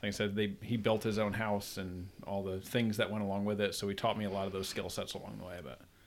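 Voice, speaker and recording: A man rattles along at a very fast pace with hardly any pauses. His intonation is flat and monotone. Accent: upstate New York. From upstate New York (Troy, near Albany). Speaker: chiropractor and father. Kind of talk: casual chat.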